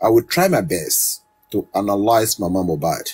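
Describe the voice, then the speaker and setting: A man's somewhat breathy voice, dark and mellow in tone, moves at a fairly slow pace. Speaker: commentator. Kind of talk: monologue analysis.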